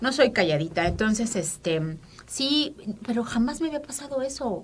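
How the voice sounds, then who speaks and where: Over noticeable background noise, a woman with a high pitch speaks at a moderate pace, her pitch swinging very widely. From Mexico City, Mexico. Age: 50s. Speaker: feminist activist. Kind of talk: interview. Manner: halting, many fillers.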